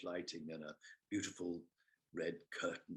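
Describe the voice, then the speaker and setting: This man's voice sits very deep and low in pitch. He talks at a fairly quick pace. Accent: southern English. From England, Kingston upon Thames. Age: 60s. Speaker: theatre artistic director and actor. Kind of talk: casual interview chat in webinar. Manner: halting, many fillers.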